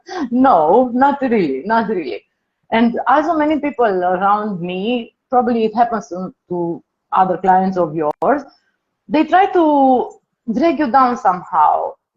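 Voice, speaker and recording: A somewhat breathy woman speaks at a fairly slow pace. Her fairly high voice moves through very wide pitch swings. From Romania. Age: 40s. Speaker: weight-loss client. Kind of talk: testimony. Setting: live stream call.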